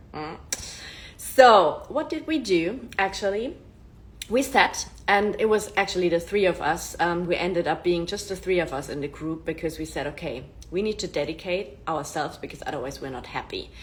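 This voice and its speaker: A woman with a German accent speaks in a fairly low pitch at a moderate pace, her tone animated and her intonation lively. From Germany. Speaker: self-improvement influencer. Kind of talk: casual live-stream monologue.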